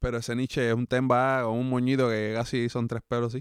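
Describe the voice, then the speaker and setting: A man with a Cuban accent talks at a very fast pace and medium pitch. The sound is dry and close, with no echo. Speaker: podcast co-host and musician. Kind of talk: casual chat.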